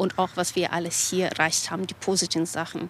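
A woman speaks with a Russian accent at a fairly low pitch. She talks at a fairly quick pace in a monotone, flat intonation. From Kazakhstan. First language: Russian (speaking German). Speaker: graphic novel author. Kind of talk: interview.

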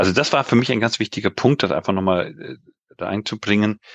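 Recorded dry and close with no echo against a quiet background, a man speaks at a fairly low pitch. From Global South (grew up abroad until 19). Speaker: democracy and governance consultant, researcher. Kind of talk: interview. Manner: halting with many fillers.

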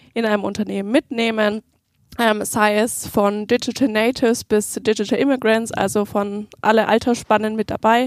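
A woman's fairly high, monotone voice with flat intonation at a moderate pace, in a dry, close sound with no echo on a very clean recording with a silent background. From Nuremberg, Germany. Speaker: change management and training specialist. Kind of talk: podcast interview.

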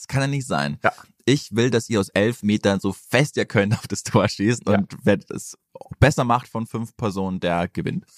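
A plain, everyday voice with lively intonation at a moderate pace, in a dry, close sound with no echo. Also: man, medium pitch for a man. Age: 20s. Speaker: football podcast co-host. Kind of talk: casual chat.

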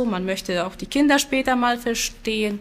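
A woman talks at a moderate pace with lively intonation. She speaks with a Silesian accent. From Poland, Silesia. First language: Silesian (speaking German). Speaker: language teacher. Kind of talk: interview.

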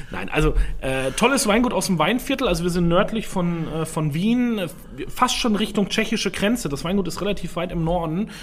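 A man with a high pitch speaks at a moderate pace with ordinary pitch variation, noticeable background noise behind him. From Franconia (Rhön), Germany. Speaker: sommelier and podcast co-host. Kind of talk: casual chat.

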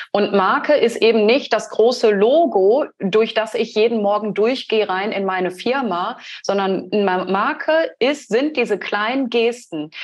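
Barely pausing, a woman talks in an ordinary speaking voice at a fairly high pitch. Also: ordinary pitch variation, fairly slow pace. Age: 30s. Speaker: brand strategy designer. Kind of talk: interview conversation.

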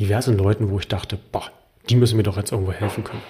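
Somewhat breathy male speech with fairly even intonation. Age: 30s. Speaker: health coach and podcast host. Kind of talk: personal monologue.

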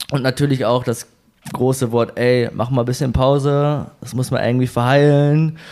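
A man speaks at medium pitch and a moderate pace. His intonation is flat and monotone. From northern Germany. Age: 20s. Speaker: running community leader and event organizer. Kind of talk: casual interview.

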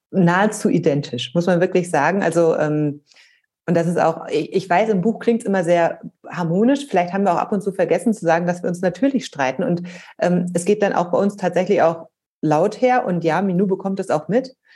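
Her voice fairly low in pitch with a dark, mellow tone, a woman speaks at a fairly quick pace. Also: ordinary pitch variation. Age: 40s. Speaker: author and parent. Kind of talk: interview. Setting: remote call.

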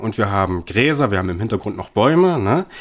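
On a very clean recording with a silent background, a man speaks with very wide pitch swings. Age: 20s. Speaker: film podcast co-host. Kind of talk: film analysis discussion. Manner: hesitant, many fillers.

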